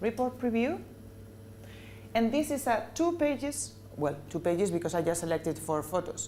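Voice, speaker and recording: A woman speaks at a moderate pace in a dark, mellow tone with vocal fry. Her pitch swings very widely. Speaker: corporate trainer. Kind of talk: training presentation. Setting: business meeting with audience.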